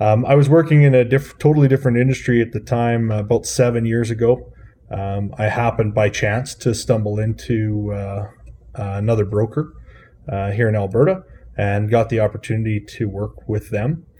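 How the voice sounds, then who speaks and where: A man with a Canadian Prairies accent speaks at a moderate pace. His tone is dark and mellow, and somewhat breathy. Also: medium pitch for a man, ordinary pitch variation. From Saskatchewan, Canada. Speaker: aircraft broker. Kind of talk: interview.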